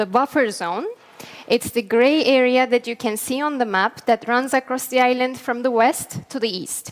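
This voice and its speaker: A high-pitched woman's voice with a Turkish accent, ordinary pitch variation and a moderate pace, over noticeable background noise. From northern Cyprus (Morphou). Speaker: peacebuilding NGO worker. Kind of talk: conference talk.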